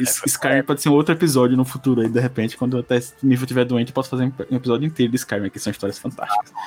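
Speaking very fast with hardly any pauses, a man keeps a medium pitch and fairly even intonation. Noticeable background noise runs under him. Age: 40s. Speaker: podcast co-host. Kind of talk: casual chat.

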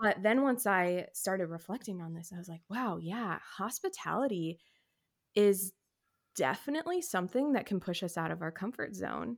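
A woman with a normal speaking voice and an American accent, lively intonation, a moderate pace, and big swings in loudness, in a very clean recording with a silent background. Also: medium pitch for a woman. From California and Texas. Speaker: stay-at-home mom and wedding photographer. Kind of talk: casual chat.

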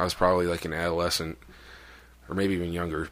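This is a man's voice. Its pitch is very deep and low. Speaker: podcast host. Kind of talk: casual banter.

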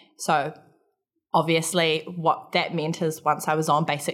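Speaking with a New Zealand accent, a woman has a very deep, low pitch and ordinary pitch variation. She keeps a moderate pace in a very clean recording with a silent background. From New Zealand, Palmerston North. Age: 20s. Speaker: army military police instructor. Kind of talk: interview.

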